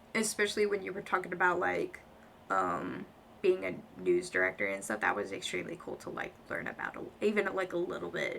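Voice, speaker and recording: In a raspy, put-on character voice with a nervous tone, the speaker goes at a moderate pace over light background noise. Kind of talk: casual, enthusiastic. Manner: nervous, stuttering, filler-heavy.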